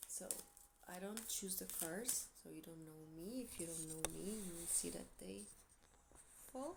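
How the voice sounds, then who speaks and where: A woman talks at a fairly slow pace, with audible room echo around her. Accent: Portuguese. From Portugal. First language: Portuguese. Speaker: tarot reader. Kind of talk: tarot reading monologue to camera. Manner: casual, hesitant with fillers.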